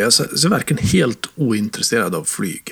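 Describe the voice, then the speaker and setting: A man's medium-pitched voice at a moderate pace. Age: 40s. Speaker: games magazine editor-in-chief. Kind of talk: casual chat. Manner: halting.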